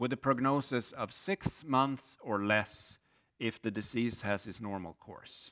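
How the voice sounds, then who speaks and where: With a Swedish accent, a man speaks at a fairly slow pace with ordinary pitch variation, recorded very cleanly against a silent background. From Sweden. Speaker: pastor. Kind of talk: sermon. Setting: church.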